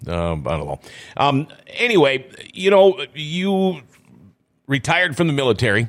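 Long, frequent pauses break up a man's moderate pace as his fairly high pitch moves in very wide swings. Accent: Upper Midwest. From northwestern Minnesota, US. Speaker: radio host. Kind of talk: casual chat. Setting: studio.

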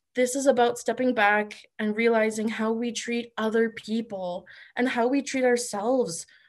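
In a plain, everyday voice, a woman speaks with a Canadian accent at a fairly high pitch. Her intonation is fairly even, her pace moderate, and the background quiet. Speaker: body image advocate. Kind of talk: roundtable discussion.

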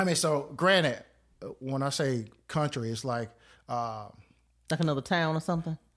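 A man with a North Carolina accent, fairly high-pitched, at a moderate pace with long, frequent pauses, in a very clean recording with a silent background. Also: ordinary pitch variation. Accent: Southern US, North Carolina. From North Carolina (Clayton). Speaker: retired Air Force veteran. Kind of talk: casual interview chat.

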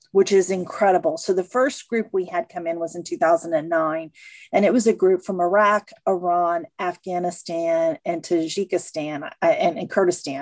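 In a normal speaking voice with an American accent, a woman speaks at a moderate pace with hardly any pauses, her pitch fairly low and intonation fairly even, in a dry, close sound with no echo. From Missouri. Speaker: sports museum president. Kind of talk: interview.

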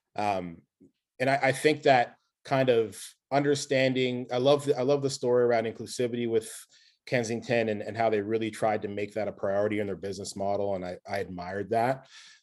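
This man has a plain, everyday voice at medium pitch with ordinary pitch variation. He talks at a fairly quick pace on a very clean recording with a silent background. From Nova Scotia, Canada. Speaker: brewery owner. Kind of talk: casual interview. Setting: call.

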